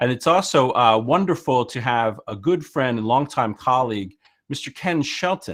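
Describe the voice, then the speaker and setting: A man speaks with an American accent at a moderate pace. His intonation is lively. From United States. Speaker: workshop presenter, former media teacher. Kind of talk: online workshop presentation. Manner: hesitant, many fillers.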